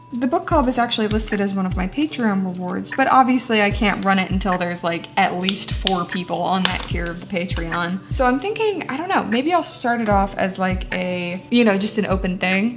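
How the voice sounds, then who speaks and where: A woman talks at a fairly quick pace with hardly any pauses over noticeable background noise. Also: medium pitch for a woman, ordinary pitch variation. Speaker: booktuber reviewing books. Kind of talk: casual vlog chat. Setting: home, at dining room table. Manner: animated.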